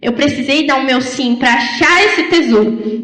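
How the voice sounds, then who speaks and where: Noticeable background noise and audible room echo surround a woman's voice. She speaks fairly slowly with lively intonation. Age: 20s. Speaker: lay preacher. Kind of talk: sermon.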